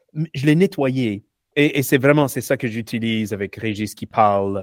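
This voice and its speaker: In a very clean recording with a silent background and a dry, close sound with no echo, a man talks at a moderate pace in an unremarkable speaking voice with ordinary pitch variation. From US South, Louisiana (Shreveport). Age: 40s. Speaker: researcher. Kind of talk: casual interview.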